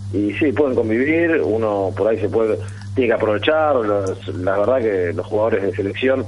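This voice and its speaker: Fairly quick speech from a man at fairly low pitch with ordinary pitch variation, amid audible room echo and noticeable background noise. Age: 30s. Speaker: amateur rugby player. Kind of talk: radio interview.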